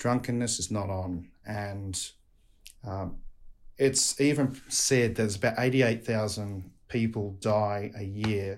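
In an Australian accent, a man speaks at fairly low pitch on a very clean recording with a silent background. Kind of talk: casual interview chat.

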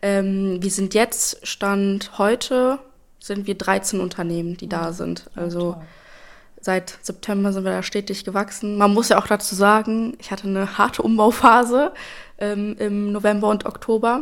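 With an unremarkable speaking voice, a woman at medium pitch talks at a fairly slow pace with fairly even intonation and big swings in loudness, recorded very cleanly against a silent background. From Germany, East Westphalia (Espelkamp). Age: 20s. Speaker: media psychologist and social media consultant. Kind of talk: casual interview.

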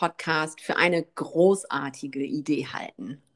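Here a woman has an ordinary speaking voice. Her pitch is fairly low, with ordinary variation. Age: 40s. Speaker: yoga teacher and podcast co-host. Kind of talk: casual chat.

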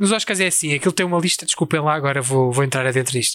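A fairly high-pitched man with a bright, sharp tone and a European Portuguese accent, on a very clean recording with a silent background. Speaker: podcast co-host. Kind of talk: casual chat.

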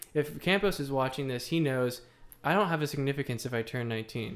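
Here is a normal speaking voice moving at a fairly quick pace. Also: man. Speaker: podcast co-host. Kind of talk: casual chat.

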